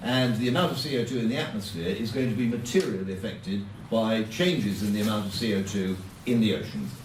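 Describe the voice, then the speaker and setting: With an English accent and lively intonation, a man talks very fast in a fairly low voice, with audible room echo around him. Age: 70s. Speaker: politician. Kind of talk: speech.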